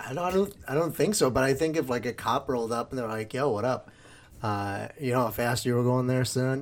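In an unremarkable speaking voice, a man of medium pitch talks fairly quickly, his pitch moving in a normal way. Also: very clean recording, silent background. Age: 20s. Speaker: podcast host, former teacher. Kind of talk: casual chat.

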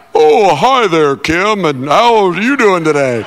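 A man puts on a character voice with a high pitch and very wide pitch swings. He delivers it at a fairly slow pace. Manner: smooth, suave.

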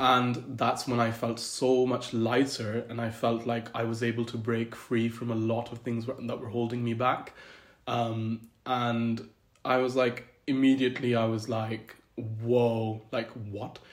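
A man speaks at a fairly slow pace in a monotone, flat intonation. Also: medium pitch for a man. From Scotland. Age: 20s. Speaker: civil servant. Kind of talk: casual chat.

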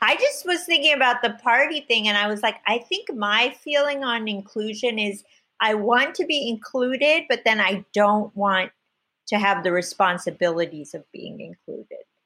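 Her voice is fairly high, with a bright, sharp tone. The recording of this woman is very clean, with a silent background. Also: lively intonation, moderate pace. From United States, child of immigrants. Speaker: comedian and actress. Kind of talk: casual chat.

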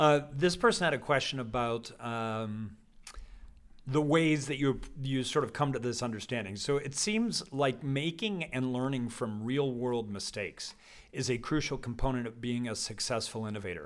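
With an American accent and a plain, everyday voice, a man talks at a moderate pace with ordinary pitch variation. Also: medium pitch for a man. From Colorado. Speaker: podcast host. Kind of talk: interview conversation. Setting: event with live audience.

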